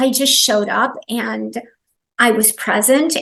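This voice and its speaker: A woman with a fairly high pitch speaks with vocal fry. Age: 60s. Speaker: massage therapist. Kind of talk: interview.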